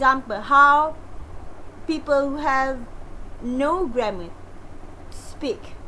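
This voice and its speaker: In a Malaysian accent, a woman with a high pitch uses a raised, projected voice amid audible room echo. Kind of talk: lecture. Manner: halting.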